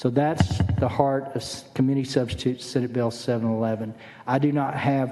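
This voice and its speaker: A man speaks in an American accent at a medium pitch and a moderate pace. His intonation stays fairly even, with noticeable background noise. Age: 60s. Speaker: state senator. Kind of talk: legislative testimony. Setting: committee hearing room.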